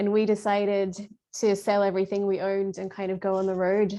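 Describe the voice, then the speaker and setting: A woman with an Australian accent talks at a fairly quick pace with medium pitch. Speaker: patient advocacy founder. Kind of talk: podcast interview.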